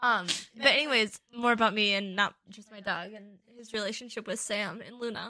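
A woman with an American accent and a fairly high, bright, sharp voice talks at a moderate pace, her loudness swinging widely. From Wisconsin, US. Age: 20s. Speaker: podcast co-host. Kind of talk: casual chat.

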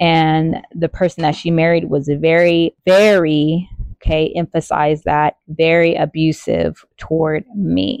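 A woman with an American accent talks in a normal speaking voice at a fairly slow pace with hardly any pauses, her fairly low pitch showing ordinary variation and her loudness very even, in a dry, close sound with no echo against a quiet background. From California. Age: 30s. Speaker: podcast host. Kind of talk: casual personal monologue.

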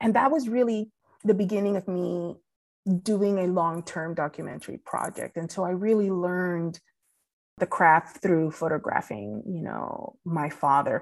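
With a Spanish accent and lively intonation, a woman speaks at a fairly low pitch and a moderate pace over a quiet background. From Puerto Rico. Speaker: documentary photographer. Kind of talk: interview.

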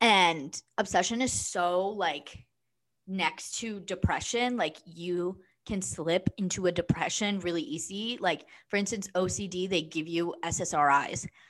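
A normal speaking voice from a woman, medium pitch with ordinary pitch variation, fairly slow pace, quiet background. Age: 20s. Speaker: podcast co-host. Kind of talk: casual chat.

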